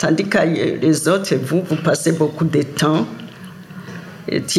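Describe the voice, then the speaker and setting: A woman speaks with a fairly low pitch and fairly even intonation. Noticeable background noise runs underneath. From Great Lakes Africa. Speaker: elder interviewee. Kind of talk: testimony.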